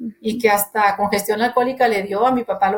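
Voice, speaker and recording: A woman speaks at a medium pitch with fairly even intonation in a plain, everyday voice. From Monterrey, Nuevo León, Mexico. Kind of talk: testimony.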